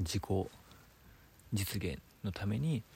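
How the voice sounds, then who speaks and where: A man speaks quietly in a calm tone with a Kansai accent, his fairly low pitch edged with vocal fry. His pitch swings very widely while his pace stays very slow. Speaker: designer, podcast co-host. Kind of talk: casual chat. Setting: campsite, by a campfire. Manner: quieter, calm delivery.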